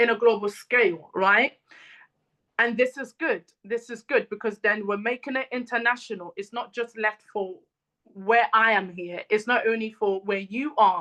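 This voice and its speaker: A woman speaks with an African accent, at a fairly high pitch and a moderate pace. Her tone is bright and sharp, with ordinary pitch variation. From Congolese family in Britain. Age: 30s. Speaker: mental health advocate and speaker. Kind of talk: talk. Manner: many fillers like um and you know.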